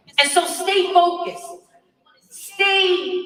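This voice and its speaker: In a room with audible echo, a woman uses a raised, projected voice and an animated tone at a fairly slow pace. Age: 40s. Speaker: activist. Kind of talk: rally speech.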